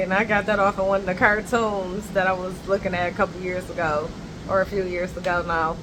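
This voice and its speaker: A woman at a medium pitch, very fast and monotone with flat intonation, amid noticeable background noise. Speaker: vlogger. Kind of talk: casual vlog chat. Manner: talkative, rambling pace.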